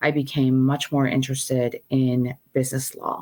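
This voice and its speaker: A woman speaks at a fairly slow pace with a very deep, low pitch. Her intonation stays monotone and flat. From Iran. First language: Persian. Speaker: law professor. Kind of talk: interview.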